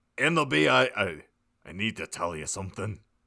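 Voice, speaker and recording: A man puts on a raspy character voice with a very deep, low pitch and very wide pitch swings at a fairly quick pace. The recording is very clean, with a silent background. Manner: very serious.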